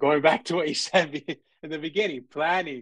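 A man speaks with a New York accent and ordinary pitch variation. The sound is dry with no echo, over a quiet background. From New York (Brooklyn, Coney Island). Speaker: filmmaker and film festival founder; guest. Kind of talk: interview and student Q&A; interview answer. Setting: video call. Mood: relaxed, reflective. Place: home room. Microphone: video call.

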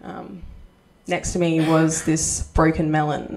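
Over light background noise, someone with an Australian accent speaks at a fairly slow pace. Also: woman. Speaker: stand-up comedian. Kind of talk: stand-up comedy set. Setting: stage with audience. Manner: animated, punchy joke delivery with pauses for laughs; self-deprecating, cheeky. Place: stage. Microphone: handheld.

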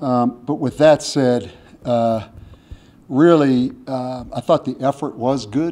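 A man talks in a dark, mellow tone. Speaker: head football coach. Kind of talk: press conference answer. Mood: subdued after a loss. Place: hall. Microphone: podium.

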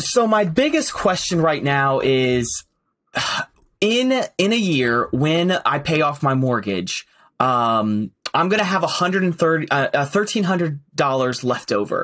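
The pitch swings very widely while the loudness stays very even. The pace is fairly slow, and the background is quiet. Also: man, fairly high pitch for a man. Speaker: guest asking for financial advice. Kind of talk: casual interview chat. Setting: call. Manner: hesitant, many fillers. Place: home room. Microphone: earbuds.

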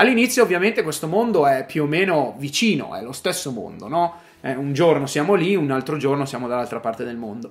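Very wide pitch swings mark speech delivered at a fairly quick pace. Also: man, fairly high pitch for a man. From northern Italy, Arluno near Milan; northern Italy. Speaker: vlogger; vlogger living abroad. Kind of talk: personal monologue. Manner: halting, repeats words. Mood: reflective, emotional. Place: home room. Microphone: phone near.

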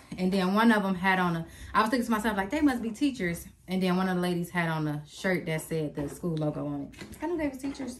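Noticeable background noise sits under a woman who talks fairly quickly. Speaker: family vlogger. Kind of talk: casual vlog chat. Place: home room. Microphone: phone near.

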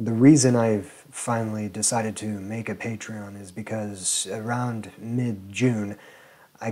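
Speaking at a fairly slow pace, a man with a fairly low pitch and a dark, mellow tone keeps his intonation fairly even. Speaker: video creator. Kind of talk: channel announcement to camera. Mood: sincere, grateful. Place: home room. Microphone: lapel.

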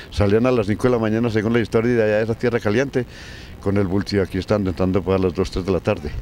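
Over light background noise in a dry setting with no echo, a man with a fairly low pitch speaks at very even loudness and with fairly even intonation. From Colombia, La Unión, Antioquia; Antioquia, Colombia. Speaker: elderly local resident; interviewee. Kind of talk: storytelling interview. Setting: outdoors in a park. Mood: reminiscing about old times. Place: street. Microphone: handheld.

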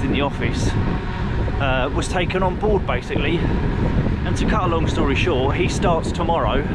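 A man talking at a fairly quick pace, with a dry sound with no echo beneath loud background noise. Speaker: cycling vlogger. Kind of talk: casual vlog chat. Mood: excited about his new job. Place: bicycle.

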